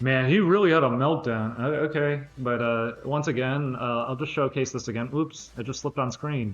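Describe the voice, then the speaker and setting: A man's ordinary speaking voice at medium pitch and a fairly quick pace. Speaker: streamer. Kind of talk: livestream talk to chat.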